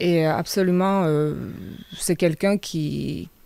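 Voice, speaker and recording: With a Hungarian accent, a woman speaks at a very slow pace with a very deep, low pitch and fairly even intonation. Her tone is dark and mellow, and the sound is dry with no echo. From Hungary. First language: Hungarian (speaking French). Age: 40s. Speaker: local election candidate; election candidate. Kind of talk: radio interview. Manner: halting, many hesitations. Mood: earnest, calm. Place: studio. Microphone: studio mic.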